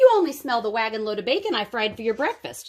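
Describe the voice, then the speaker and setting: A woman bellows in a put-on character voice at a very fast pace and a fairly high pitch, on a very clean recording with a silent background. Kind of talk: bedtime story. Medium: read story. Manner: roaring, frantic.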